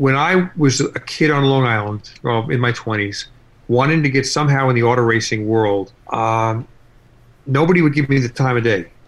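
This man has an unremarkable speaking voice, medium in pitch, with ordinary pitch variation and a moderate pace. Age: 60s. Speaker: car collector and YouTube series host. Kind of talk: interview. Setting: remote call.

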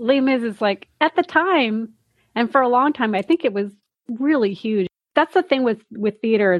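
Speaking at a moderate pace, a woman uses a normal speaking voice with lively intonation. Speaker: podcast host. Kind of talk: casual interview.

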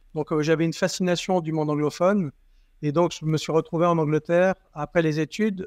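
Flat, monotone intonation marks this man's fairly quick delivery. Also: fairly high pitch for a man, dry, close sound with no echo. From southern France, Toulon. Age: 50s. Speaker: company CEO. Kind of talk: interview.

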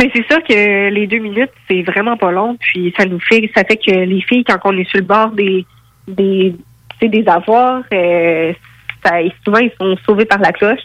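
A woman speaks in a plain, everyday voice at a fairly slow pace. Her pitch is medium, with ordinary variation. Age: 20s. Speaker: professional boxer. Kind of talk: interview.

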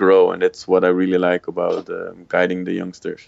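At a moderate pace, a man with a Dutch accent speaks at a very deep, low pitch. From Netherlands. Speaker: former judo world champion and psychologist. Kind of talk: interview. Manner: halting, many fillers.

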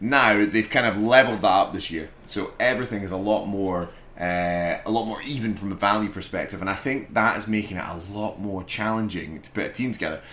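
A man with a Scottish accent at a fairly low pitch, with ordinary pitch variation, big swings in loudness and hardly any pauses. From Scotland. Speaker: podcast co-host. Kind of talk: casual chat.

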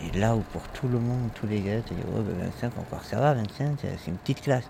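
At a moderate pace, a man with a fairly low pitch talks with very wide pitch swings. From Toulouse, southwestern France. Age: 20s. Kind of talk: testimony. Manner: halting, many hesitations and repetitions.

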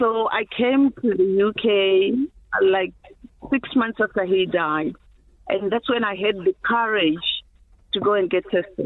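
A woman with a Zimbabwean accent, lively intonation and a very slow pace. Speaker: HIV activist. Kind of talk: interview.

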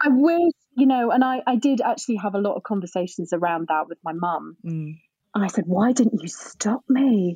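A woman speaks at a moderate pace with a fairly high pitch that swings very widely, her tone dark, mellow and somewhat breathy. The sound is dry and close, with no echo. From northern England, Scunthorpe, North Lincolnshire. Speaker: grief and drama therapist. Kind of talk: casual interview chat.

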